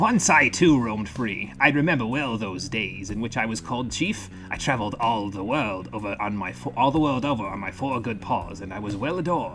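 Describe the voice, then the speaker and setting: A man's put-on character voice at a medium pitch, fairly quick with hardly any pauses, over clear background noise. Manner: wistful, dignified.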